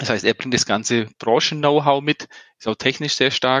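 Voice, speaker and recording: The speaker has an unremarkable speaking voice with ordinary pitch variation and a moderate pace. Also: man. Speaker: startup founder and CEO. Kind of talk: interview. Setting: remote call from Canada.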